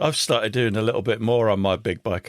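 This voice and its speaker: In a very clean recording with a silent background, a man speaks at medium pitch with a dry, close sound and no echo. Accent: English. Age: 60s. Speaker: podcast host. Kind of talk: casual interview chat.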